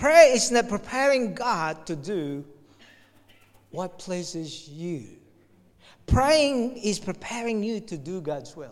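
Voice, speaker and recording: A very slow pace with long, frequent pauses, on a very clean recording against a silent background. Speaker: visiting pastor. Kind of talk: sermon. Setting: church. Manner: animated.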